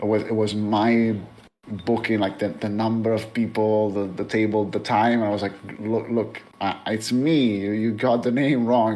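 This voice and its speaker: A man with a fairly low pitch speaks at a moderate pace in monotone, flat intonation, with audible room echo. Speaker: author and streamer. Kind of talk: interview. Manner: stammering, many repeated words.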